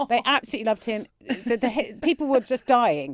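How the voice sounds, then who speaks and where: A woman with a southern English accent talks at a very fast pace in a fairly high voice with vocal fry, the sound dry and close with no echo. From London suburbs. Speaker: comedian. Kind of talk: casual chat, anecdote. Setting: podcast. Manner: animated.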